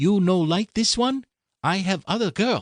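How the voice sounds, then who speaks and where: Using a put-on character voice, a man speaks in a high pitch at a moderate pace. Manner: sweet, coaxing.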